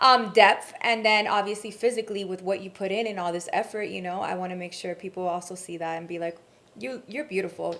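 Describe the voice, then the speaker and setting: A woman talks fairly quickly at a medium pitch, her loudness swinging widely while her pitch varies in an ordinary way. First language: not English. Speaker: reality TV personality and singer. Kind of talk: casual chat.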